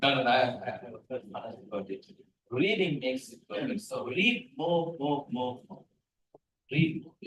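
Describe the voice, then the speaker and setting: Animated speech in a Tamil accent at a moderate pace, with very wide pitch swings, big swings in loudness and vocal fry. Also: man. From Sri Lanka. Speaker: research scientist, guest lecturer. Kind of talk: lecture. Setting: lecture hall, hybrid. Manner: animated, interactive.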